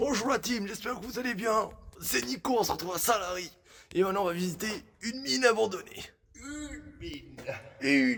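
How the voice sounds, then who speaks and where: Fairly quick speech broken by long, frequent pauses, with very wide pitch swings over noticeable background noise. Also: man, high pitch for a man. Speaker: youtuber. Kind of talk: exploration vlog. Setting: inside an abandoned mine. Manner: partly whispering.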